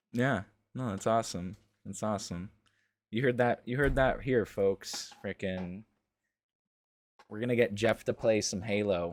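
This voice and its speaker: A man with an American accent, fairly low in pitch, at a fairly slow pace, fairly even intonation and long, frequent pauses. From New England, Western Massachusetts. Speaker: gaming content creator. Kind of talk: interview. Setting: online voice call.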